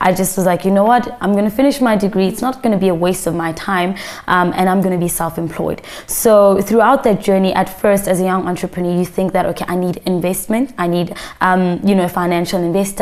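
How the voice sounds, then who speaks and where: Against noticeable background noise, a woman talks very fast at a medium pitch with fairly even intonation. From South Africa, raised in Pretoria. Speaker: media entrepreneur. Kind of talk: interview.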